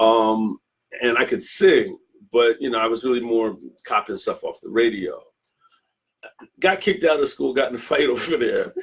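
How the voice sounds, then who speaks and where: Long, frequent pauses break up this man's speech. Between them, he keeps a moderate pace. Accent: American. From Philadelphia, US. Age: 60s. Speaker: guitarist. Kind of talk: interview.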